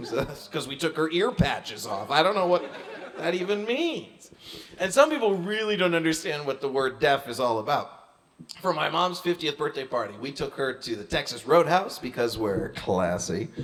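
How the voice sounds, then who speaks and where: Over noticeable background noise, a man with an American accent speaks at a moderate pace, his fairly high pitch swinging very widely. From Maine, US. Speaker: comedian. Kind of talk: stand-up.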